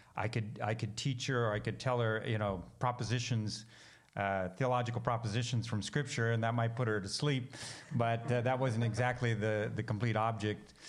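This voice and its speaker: The speaker has an American accent and a monotone, flat intonation. Loudness stays very even, and there is audible room echo. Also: man, medium pitch for a man, moderate pace. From US Pacific Northwest, Seattle. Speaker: missionary theologian and minister. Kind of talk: interview.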